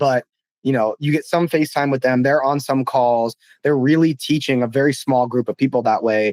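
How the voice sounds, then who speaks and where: Here a man speaks at a medium pitch with ordinary pitch variation. The sound is dry and close with no echo, and his loudness stays very even. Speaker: marketing podcast host. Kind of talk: casual chat. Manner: fast.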